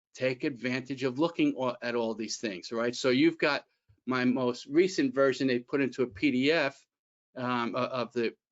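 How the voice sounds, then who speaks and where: A man's normal speaking voice at medium pitch, moderate pace and fairly even intonation. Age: 60s. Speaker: employment attorney. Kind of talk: webinar presentation. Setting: online webinar. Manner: conversational, with fillers and restarts.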